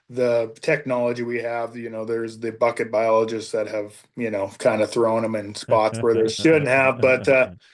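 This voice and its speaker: This is a normal speaking voice with an American accent and fairly even intonation. The pace is moderate and the background is quiet. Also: man. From Northwest Montana. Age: 40s. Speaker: tournament bass angler. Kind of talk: casual chat.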